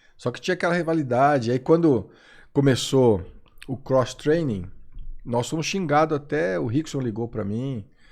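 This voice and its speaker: A man talks at a moderate pace with a medium pitch and lively intonation. The background is quiet. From Brazil. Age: 50s. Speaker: former MMA referee and jiu-jitsu instructor. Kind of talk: podcast interview.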